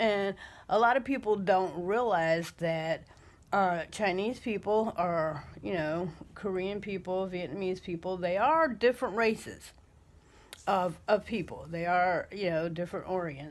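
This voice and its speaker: At a fairly slow pace, a woman of medium pitch speaks with ordinary pitch variation on a very clean recording with a silent background. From United States. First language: not English. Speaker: vlogger. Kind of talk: casual monologue. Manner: hesitant, many fillers.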